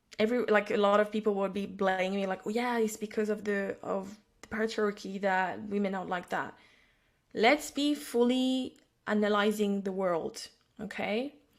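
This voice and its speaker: In a very clean recording with a silent background, a woman with a French accent speaks at a medium pitch and moderate pace, her intonation fairly even. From France. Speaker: psychic and intuitive business mentor. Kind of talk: podcast interview conversation. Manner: halting, many false starts.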